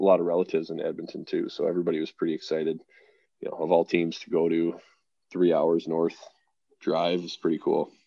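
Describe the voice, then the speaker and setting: A man speaks with a western Canadian accent. His pace is fairly quick. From Canada (suburban Calgary). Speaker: professional hockey goaltender. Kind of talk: interview. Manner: hesitant, many fillers.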